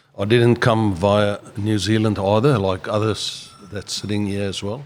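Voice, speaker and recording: Against noticeable background noise, a man with a South African accent speaks at a fairly low pitch and a fairly slow pace. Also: fairly even intonation. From South Africa, George, Western Cape. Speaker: business owner. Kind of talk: podcast interview.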